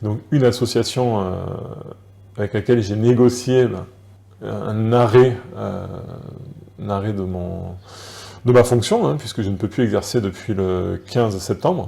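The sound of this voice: Fairly low, dark and mellow male voice with vocal fry, ordinary pitch variation and a fairly slow pace.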